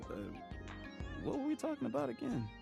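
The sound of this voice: Against clear background music, a man performs a put-on character voice at an extremely high pitch, with very wide pitch swings, vocal fry and a fairly quick pace.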